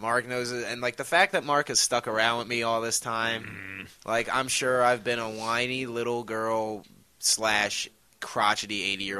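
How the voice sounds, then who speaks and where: A man with an American accent, a bright, sharp tone, medium pitch and a moderate pace. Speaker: podcast host. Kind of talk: casual chat. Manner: profane, jokey.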